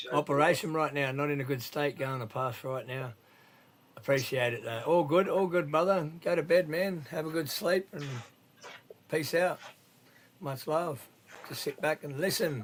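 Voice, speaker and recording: With an Australian accent, a man speaks at a fairly high pitch with ordinary pitch variation and long, frequent pauses. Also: moderate pace. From New South Wales, Australia. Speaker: live stream host. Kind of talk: casual chat. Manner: animated.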